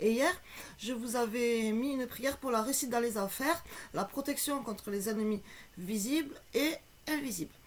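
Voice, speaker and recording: Pausing long and often, a woman with a high pitch talks at a moderate pace with ordinary pitch variation. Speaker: esoteric video blogger. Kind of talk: casual tutorial.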